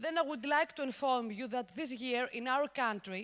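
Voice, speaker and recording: With a Greek accent, a woman speaks at a high pitch with ordinary pitch variation. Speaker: conference host. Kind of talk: conference interview.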